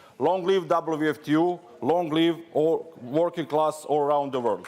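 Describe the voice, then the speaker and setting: A man with a Serbian accent speaks fairly slowly in a fairly high voice, keeping his loudness very even and his intonation fairly even. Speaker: trade union delegate. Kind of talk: congress speech. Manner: non-native, simple phrasing.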